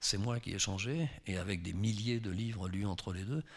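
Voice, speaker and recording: A man talks at a moderate pace in a normal speaking voice, fairly low-pitched with ordinary pitch variation. The recording is very clean, with a silent background. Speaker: novelist. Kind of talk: public author talk.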